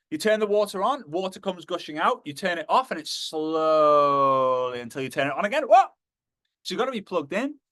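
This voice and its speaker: In a Liverpool accent, a man speaks at a fairly quick pace with a high pitch and a bright, sharp tone. His pitch swings very widely. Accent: Liverpool (Scouse) English. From northern England, Liverpool. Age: 30s. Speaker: motivational speaker. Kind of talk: motivational talk.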